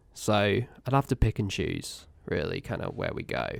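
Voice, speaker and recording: Someone with an English accent is heard on a very clean recording with a silent background. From England. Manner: thoughtful, hesitant.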